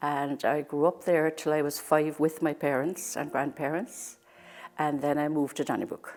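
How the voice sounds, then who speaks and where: A woman with a Cork accent, very deep, low pitch, fairly even intonation and a moderate pace, on a very clean recording with a silent background. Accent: Cork Irish. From Ireland, Cork (Douglas). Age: 70s. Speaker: local resident. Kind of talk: oral history interview.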